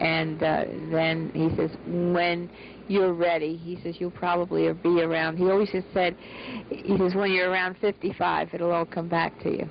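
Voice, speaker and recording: A woman with an American accent, fairly low in pitch, monotone and flat, at a moderate pace over noticeable background noise. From US, Baltimore. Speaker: interviewee, daughter of a scientist. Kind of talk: interview testimony.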